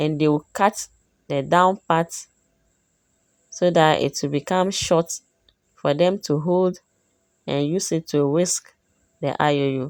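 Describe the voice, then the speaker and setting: In a very clean recording with a silent background, a woman speaks very slowly with long, frequent pauses in a very deep, low voice, fairly even intonation and a dry, close sound with no echo. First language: Dagbani. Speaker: cooking vlogger. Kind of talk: cooking tutorial.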